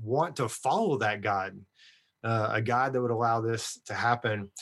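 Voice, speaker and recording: A man speaks at a medium pitch. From Texas. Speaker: ministry leader and legacy-letter advocate. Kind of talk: interview, personal testimony.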